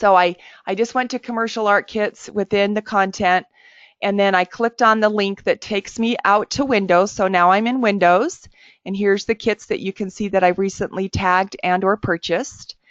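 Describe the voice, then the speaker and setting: A woman talks at a moderate pace and medium pitch in an unremarkable speaking voice. Her intonation stays fairly even. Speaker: webinar presenter, software trainer. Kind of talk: tutorial. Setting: webinar.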